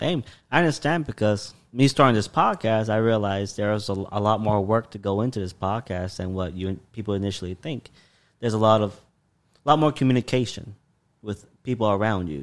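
Heard on a very clean recording with a silent background, a man has a plain, everyday voice, fairly low in pitch, moving at a fairly quick pace with ordinary pitch variation. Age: 20s. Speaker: podcast host. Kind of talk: casual chat. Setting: in guest's apartment.

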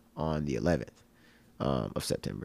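This man talks at a moderate pace, his voice showing vocal fry. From Tennessee. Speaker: rapper. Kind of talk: casual chat.

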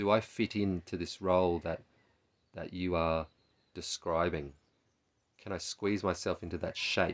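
A man with an Australian accent and a very deep, low pitch speaks at a moderate pace with fairly even intonation on a very clean recording with a silent background. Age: 40s. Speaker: therapist and podcast host. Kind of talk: reflective solo talk. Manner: halting, with repetitions.

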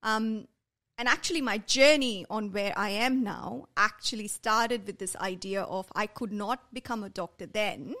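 The woman's voice is fairly high-pitched. It has a bright, sharp tone. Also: ordinary pitch variation, moderate pace. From India. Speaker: art therapy studio founder. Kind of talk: interview conversation.

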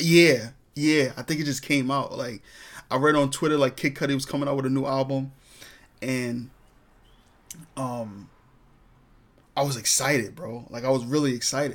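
A man with a New York accent speaks at a moderate pace and medium pitch, his intonation fairly even, with long, frequent pauses on a very clean recording against a silent background. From New York, Brooklyn. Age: 20s. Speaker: podcast host. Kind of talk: casual monologue. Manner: filler-heavy, repetitive.

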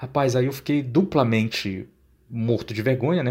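A man at a moderate pace. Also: very clean recording, silent background. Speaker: podcast host. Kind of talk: storytelling. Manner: casual.

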